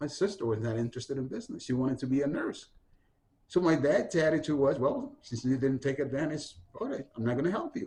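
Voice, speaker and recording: Very fast speech in a dark, mellow, somewhat breathy tone with ordinary pitch variation. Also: man, fairly high pitch for a man. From Honduras. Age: 60s. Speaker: community activist and historian. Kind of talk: oral history interview.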